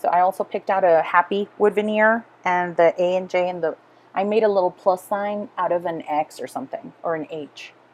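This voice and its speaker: A woman's medium-pitched voice in a Spanish accent, with ordinary pitch variation and a moderate pace. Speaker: scrapbooking craft video creator. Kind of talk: voiceover narration of craft process video. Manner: casual with frequent fillers.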